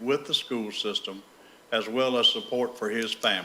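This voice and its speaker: A man of medium pitch with an American accent. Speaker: member of the public speaking at a meeting. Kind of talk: public comment. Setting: school board meeting room. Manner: loud.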